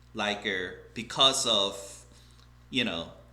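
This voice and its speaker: At a very slow pace, a man speaks with a Korean accent. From South Korea. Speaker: English teacher. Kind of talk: casual talk to camera.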